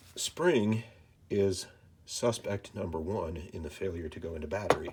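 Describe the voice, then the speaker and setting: A somewhat breathy man talks at a very slow pace. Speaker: firearms channel host. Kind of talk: instructional firearm cleaning talk to camera. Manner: calm, measured, soft-spoken.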